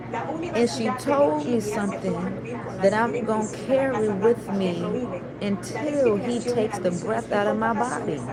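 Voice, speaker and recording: A woman with a fairly high pitch and lively intonation speaks at a fairly slow pace, with audible room echo and noticeable background noise. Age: 30s. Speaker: vlogger. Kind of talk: livestream monologue. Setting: laundromat. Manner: emotional, reflective.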